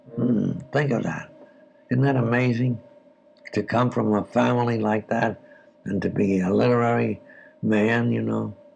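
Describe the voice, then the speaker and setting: Speaking at a fairly slow pace, a man leaves long, frequent pauses, his medium pitch fairly even in intonation and his loudness very even. Noticeable background noise can be heard. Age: 80s+. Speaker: writer. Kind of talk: interview answer.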